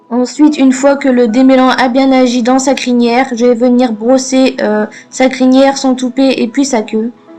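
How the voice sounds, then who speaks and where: Over music in the background, a woman talks at a moderate pace in a high pitch with monotone, flat intonation. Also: very even loudness. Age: 20s. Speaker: pony owner. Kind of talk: vlog voice-over.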